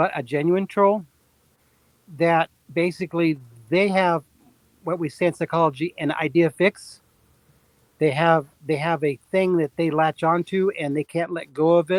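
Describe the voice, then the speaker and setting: A man's high voice with fairly even intonation at a moderate pace, long, frequent pauses and a dry, close sound with no echo. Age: 70s. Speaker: podcast guest. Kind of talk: casual chat. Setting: live stream. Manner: halting, with frequent repetitions.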